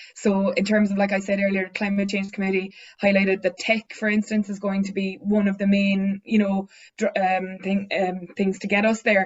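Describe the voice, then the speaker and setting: In a southern Irish accent, a woman speaks at a medium pitch with monotone, flat intonation. Her voice is somewhat breathy. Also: moderate pace. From south of Ireland. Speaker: tech business founder, panelist. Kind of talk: panel discussion.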